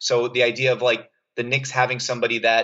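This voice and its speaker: A man with a medium-pitched voice talks at a moderate pace. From New York City (Staten Island). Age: 30s. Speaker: sports writer. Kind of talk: casual chat. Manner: halting.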